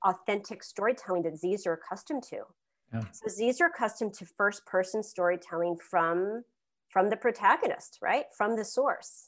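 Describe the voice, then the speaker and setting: A woman talks at a moderate pace in an animated tone. Her fairly high voice carries lively intonation. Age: 50s. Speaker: cultural consultant and author. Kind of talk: interview.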